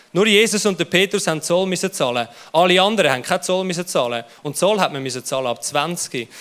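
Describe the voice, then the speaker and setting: A man talks very fast in a high voice with a Swiss accent. His tone is animated and his intonation lively. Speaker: youth pastor. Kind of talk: sermon.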